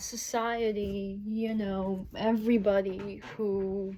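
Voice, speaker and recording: A woman's monotone, flat delivery amid noticeable background noise. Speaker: indie author. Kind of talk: casual talk with reading aloud. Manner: halting.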